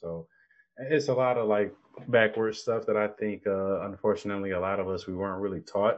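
A man with a plain, everyday voice, fairly low pitch, ordinary pitch variation and a fairly quick pace. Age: 30s. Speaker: rapper. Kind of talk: casual interview.

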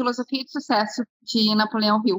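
A woman speaks at a fairly high pitch in a Gaúcho Brazilian accent. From Porto Alegre, southern Brazil. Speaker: entrepreneur, business co-founder. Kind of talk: interview conversation.

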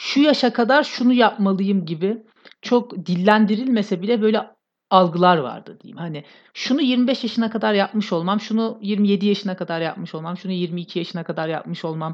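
A woman with a plain, everyday voice speaks at a medium pitch and moderate pace, with lively intonation, against a quiet background. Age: 20s. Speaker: podcast host. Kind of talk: casual chat.

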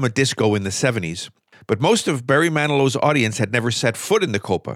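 Very wide pitch swings mark a man's speech at a fairly quick pace. His pitch sits at a medium level. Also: very clean recording, silent background. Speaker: radio host. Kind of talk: radio DJ patter between songs. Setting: radio studio. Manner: smooth, upbeat, conversational; chatty, lightly joking, laughs while talking.

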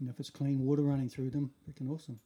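Dark, mellow male voice with a New Zealand accent. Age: 50s. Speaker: surfboard shaper. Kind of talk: casual interview.

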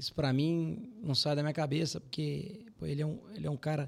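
Here is a man with a fairly high pitch. His voice is somewhat breathy, with ordinary pitch variation. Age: 30s. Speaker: financial firm CEO. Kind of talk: casual interview.

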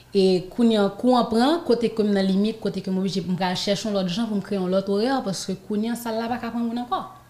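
A woman with a fairly high pitch speaks at a fairly quick pace with ordinary pitch variation. Noticeable background noise is present. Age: 20s. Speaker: professional dancer and student. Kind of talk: interview.

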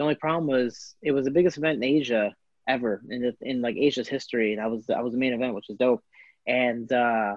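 Very fast speech with fairly even intonation, in an American accent. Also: man. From Chicago, Illinois. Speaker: MMA fighter. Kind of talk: casual interview.

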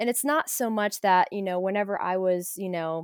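A woman with an American accent speaks at a moderate pace and a medium pitch, in a dry, close sound with no echo on a very clean recording with a silent background. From Ohio, US. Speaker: student and study abroad peer mentor. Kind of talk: casual interview chat.

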